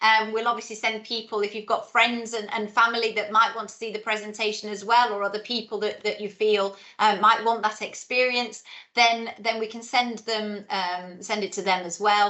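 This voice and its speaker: With a British accent, a woman speaks in a fairly high pitch and a monotone, flat intonation. Her pace is moderate. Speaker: head of school. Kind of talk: informational webinar Q&A. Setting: video call webinar.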